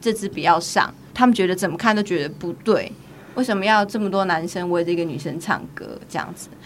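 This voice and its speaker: A normal speaking voice moves at a fairly quick pace with ordinary pitch variation. Its loudness swings widely. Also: woman, medium pitch for a woman. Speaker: podcast host. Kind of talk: casual chat.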